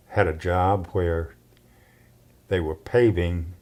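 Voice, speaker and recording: A man with a Southern US accent speaks at a very slow pace with a very deep, low pitch. His tone is dark and mellow, with fairly even intonation. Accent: Southern US (Georgia). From US South, Georgia (Cartersville). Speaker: oral history interviewee. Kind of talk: oral history interview. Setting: at his home.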